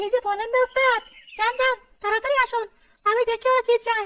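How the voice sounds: A squeaky, cartoonish character voice speaks at a fairly quick pace. Its intonation stays flat and monotone. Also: woman, extremely high pitch for a woman.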